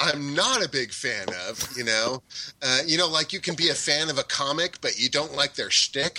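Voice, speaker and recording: Noticeable background noise sits under a dry, close sound with no echo as a man speaks at a moderate pace with a fairly high pitch and ordinary pitch variation. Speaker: property assistant manager, panelist.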